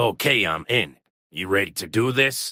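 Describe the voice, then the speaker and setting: In a put-on character voice, a man speaks at a moderate pace with a raspy, medium-pitched sound. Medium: comedy sketch.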